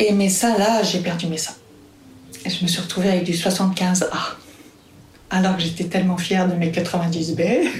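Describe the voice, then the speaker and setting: Speaking at a fairly slow pace with long, frequent pauses, a woman keeps a medium pitch and monotone, flat intonation, with audible room echo and noticeable background noise. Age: 50s. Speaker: midwife. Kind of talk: testimony.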